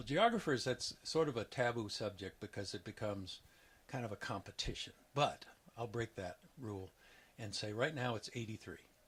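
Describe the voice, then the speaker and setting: A man talks in a plain, everyday voice at medium pitch and a moderate pace. His pitch varies in an ordinary way. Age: 60s. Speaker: retiring geography professor. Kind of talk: interview.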